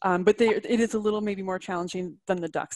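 Against a quiet background, a woman talks fairly quickly in a normal speaking voice of medium pitch with fairly even intonation. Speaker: extension staff co-presenter. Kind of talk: webinar presentation. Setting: video call.

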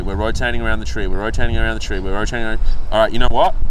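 Light background noise behind a man's dry voice with no echo. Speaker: vlogger. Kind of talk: casual vlog chat. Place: open country. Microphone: phone near.

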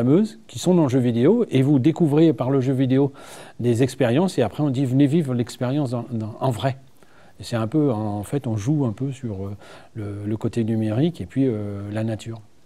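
A man's dark, mellow tone at a moderate pace, with ordinary pitch variation. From northern France, Seine-Maritime (Normandy); Normandy, France. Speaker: director of a regional tourism agency; guest. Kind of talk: TV studio interview. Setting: TV studio. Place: studio. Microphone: lapel.

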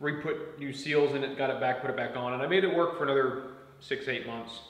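Audible room echo hangs around the voice. The speaker is a man whose pitch varies in an ordinary way. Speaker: DIY tractor owner. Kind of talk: explanatory vlog talk. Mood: frustrated but calm. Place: garage. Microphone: camera far.

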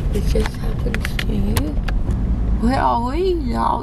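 A woman speaks at a very slow pace. Loud background noise fills the recording. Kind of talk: casual vlog chat. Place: car. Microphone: phone near.

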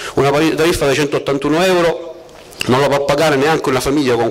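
Talking at a moderate pace, a man has a fairly high voice. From Sicily. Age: 40s. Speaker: surveyor and council candidate; council candidate. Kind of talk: political rally speech. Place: street.

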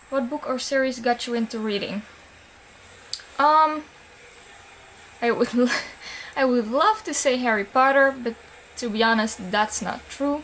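Light background noise accompanies a woman speaking at a moderate pace and a fairly high pitch, with fairly even intonation. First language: not English. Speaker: book vlogger. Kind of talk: casual talk to camera. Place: home room. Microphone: webcam.

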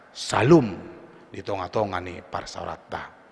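At a very slow pace, a man talks in a fairly low pitch. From North Sumatra, Indonesia (Batak). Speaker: pastor. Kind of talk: sermon. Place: church.

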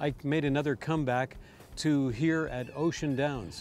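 Clear music plays behind a man whose voice has a dry sound with no echo. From Canada. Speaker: harness race caller. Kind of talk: interview answer. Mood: warm, upbeat. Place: open country. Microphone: lapel.

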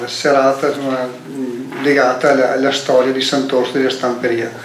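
A man speaks at a moderate pace, with audible room echo and light background noise. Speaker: event organizer; event moderator. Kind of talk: event introduction. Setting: stage with audience. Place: hall.

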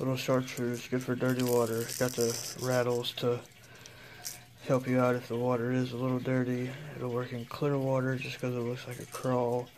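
Over noticeable background noise, a man at medium pitch talks at a moderate pace in a monotone, flat way. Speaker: fishing tackle reviewer. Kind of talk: product unboxing review. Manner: casual, with frequent hesitations.

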